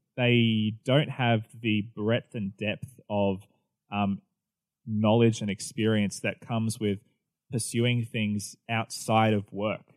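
A man's fairly low, monotone voice with flat intonation, a very slow pace and an Australian accent. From Australia, New South Wales. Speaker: pastor. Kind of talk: casual chat.

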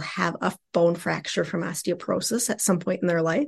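A woman's medium-pitched, ordinary speaking voice with ordinary pitch variation against a quiet background. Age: 50s. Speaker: sex therapist and clinical social worker. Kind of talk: casual interview.

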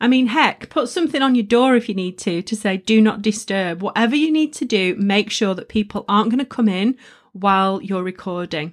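A woman with a northern English accent talks at a fairly quick pace with hardly any pauses. Her voice is fairly high with lively intonation. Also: very clean recording, silent background. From northern England. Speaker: podcast host and coach. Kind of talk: solo tutorial podcast. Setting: studio. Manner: energetic.

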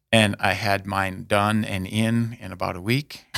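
A man with an American accent, fairly low-pitched, fairly even intonation, a plain, everyday voice. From US Midwest, South Dakota (Aberdeen). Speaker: deacon. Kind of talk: interview, personal testimony.

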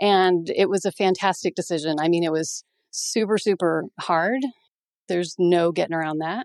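A woman with an ordinary speaking voice and a fairly low pitch talks at a moderate pace with fairly even intonation. The sound is dry and close with no echo, over a quiet background. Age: 50s. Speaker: veterinarian and practice owner. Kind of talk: interview.

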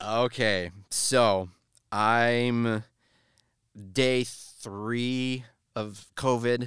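In a very clean recording with a silent background, a man speaks at a very slow pace in a monotone, flat intonation, with long, frequent pauses. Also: medium pitch for a man. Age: 30s. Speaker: local musician. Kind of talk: casual chat.

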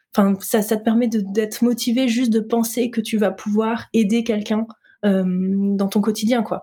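Her voice is somewhat breathy with a dark, mellow tone, a woman at a fairly high pitch speaking in a monotone, flat intonation. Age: 30s. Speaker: entrepreneur in healthy eating coaching. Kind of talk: interview conversation.

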